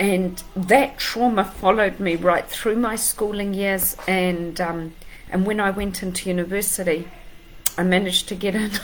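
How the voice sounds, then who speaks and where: Against noticeable background noise, a woman talks at a moderate pace with a medium pitch and fairly even intonation. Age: 50s. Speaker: life coach. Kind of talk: motivational talk to camera.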